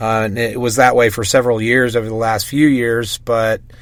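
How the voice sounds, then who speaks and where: A man talks with a slight Southern US accent. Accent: slight Southern twang. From US South, Mississippi. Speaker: DJ. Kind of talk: casual interview.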